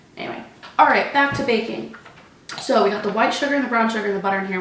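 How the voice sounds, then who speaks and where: There is noticeable background noise. Through it, a woman can be heard talking. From Texas. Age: 20s. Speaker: college student, theater performer. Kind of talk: baking tutorial talk to camera. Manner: upbeat.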